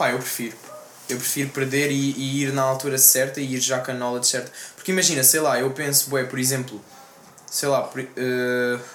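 A man's medium-pitched, monotone, flat voice at a moderate pace, with noticeable background noise and audible room echo. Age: young. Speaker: rapper. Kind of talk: casual chat.

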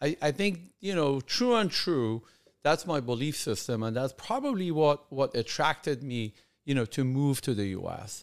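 A man speaks at a fairly high pitch with a Persian accent and lively intonation. The recording is very clean, with a silent background. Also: moderate pace. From Iran, then Germany as a teen. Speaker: podcast host, entrepreneur. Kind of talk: casual monologue. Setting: video recording. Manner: halting, many fillers.

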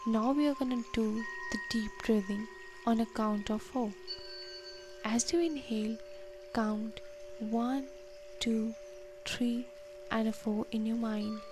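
A woman's fairly high-pitched voice with ordinary pitch variation and very even loudness, very slow with long, frequent pauses, over noticeable background noise. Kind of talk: guided meditation. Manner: slow, soothing and gentle, with long pauses between instructions; warm, encouraging and inviting.

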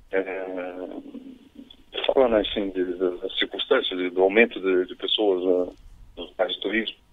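With long, frequent pauses and big swings in loudness, a man talks at a very slow pace. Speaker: caller, engineer and business owner. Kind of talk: casual chat. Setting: phone call. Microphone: too quiet.

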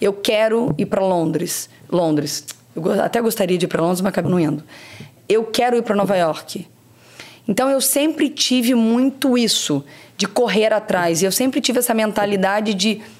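A woman speaks at medium pitch and a moderate pace, with lively intonation. Her tone is energetic and her loudness stays very even. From Brazil, Rio de Janeiro state interior (Barra Mansa). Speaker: marketing executive. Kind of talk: interview.

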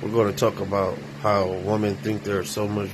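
A man with an American accent, fairly low pitch and moderate pace, against noticeable background noise. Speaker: podcast host. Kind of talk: casual chat.

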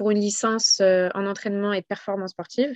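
A woman's medium-pitched voice at a moderate pace, dry and close with no echo, over a quiet background. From Paris, France. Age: 20s. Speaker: sports association founder and retail manager. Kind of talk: casual interview. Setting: podcast recording.

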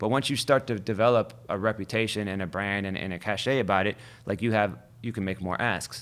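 An ordinary speaking voice with an American accent moves at a fairly quick pace with fairly even intonation. The recording is very clean, with a silent background. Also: man, fairly low pitch for a man. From Ohio, US (Youngstown). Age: 40s. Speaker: DJ. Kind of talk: casual interview chat.

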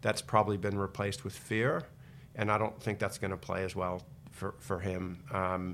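A plain, everyday voice from a man with an American accent, fairly low in pitch, with fairly even intonation. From United States. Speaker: investment company co-founder. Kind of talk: casual interview about investing.

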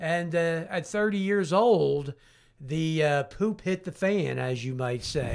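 A man with a Philadelphia accent, fairly high in pitch, at a very slow pace with ordinary pitch variation. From Southwest Philadelphia. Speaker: addiction recovery counselor. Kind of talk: casual interview.

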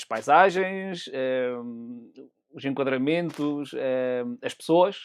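Speaking very slowly, a man has a fairly high voice. His pitch variation is ordinary. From Azores, Pico island. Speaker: amateur photographer. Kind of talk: casual chat. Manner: halting.

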